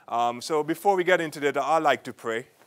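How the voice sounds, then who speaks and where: A man talks with an Antiguan accent at a moderate pace. His intonation is lively. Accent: Antiguan Caribbean, close to Jamaican. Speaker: film producer and entrepreneur. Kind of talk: lecture.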